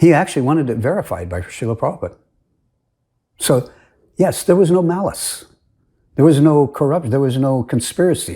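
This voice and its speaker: A man's somewhat breathy, dark, mellow voice at a fairly quick pace, with lively intonation and long, frequent pauses, on a very clean recording with a silent background. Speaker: religious commentator. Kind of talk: recorded presentation. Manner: halting.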